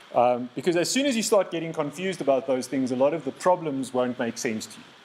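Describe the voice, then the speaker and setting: Against noticeable background noise, a man speaks very fast at a fairly high pitch. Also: ordinary pitch variation, big swings in loudness. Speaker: lecturer. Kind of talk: lecture. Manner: halting, repeats words.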